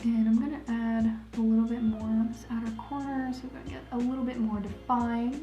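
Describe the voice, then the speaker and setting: Over music in the background, a woman with a fairly high pitch talks at a moderate pace in an American accent. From Ohio, USA. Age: 20s. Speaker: makeup tutorial creator. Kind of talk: casual talk to camera.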